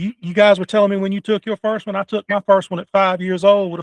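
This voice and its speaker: A man with a Southern US accent speaks in a high pitch. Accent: southern rural drawl. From North Carolina. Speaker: podcast host. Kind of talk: casual interview chat. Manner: halting, many fillers.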